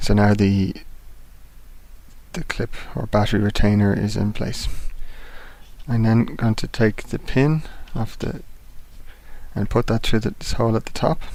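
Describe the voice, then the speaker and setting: A man's calm, soft-spoken voice with a dark, mellow tone, ordinary pitch variation, a moderate pace and long, frequent pauses. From England. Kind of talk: instructional tutorial narration.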